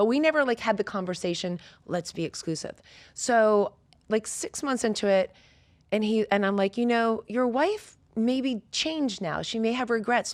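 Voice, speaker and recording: A woman talks at a moderate pace with lively intonation in an ordinary speaking voice. The recording is very clean, with a silent background. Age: 50s. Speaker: fitness coach. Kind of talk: casual chat.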